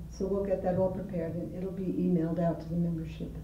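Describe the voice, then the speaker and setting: The speech comes at a very fast pace, with audible room echo and light background noise. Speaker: volunteer member. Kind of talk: announcements. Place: meeting room.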